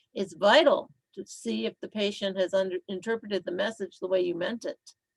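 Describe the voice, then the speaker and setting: A woman's medium-pitched voice at a moderate pace, dry and close with no echo. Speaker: nursing instructor. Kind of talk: lecture.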